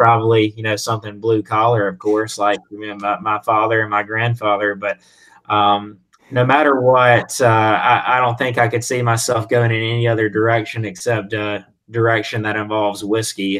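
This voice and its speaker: A man with a Southern US accent talks at a moderate pace. His medium pitch holds a monotone, flat intonation. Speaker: whiskey brand representative. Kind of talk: casual interview.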